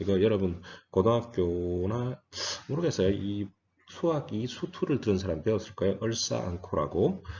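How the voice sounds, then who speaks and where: A man speaks at a moderate pace in a fairly low, somewhat breathy voice with lively intonation. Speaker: physics lecturer. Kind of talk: lecture.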